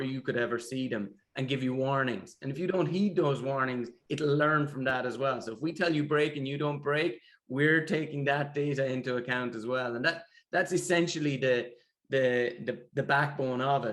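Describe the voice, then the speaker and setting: With a Limerick accent, a man speaks at a moderate pace and a fairly high pitch, his intonation fairly even. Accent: Irish (Limerick). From Ireland, Limerick. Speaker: tech founder. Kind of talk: interview.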